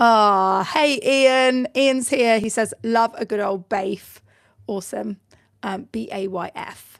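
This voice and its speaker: A woman speaks at a high pitch in a British accent. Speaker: online business coach. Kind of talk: live tutorial. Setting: livestream with screen share. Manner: casual, chatty with fillers.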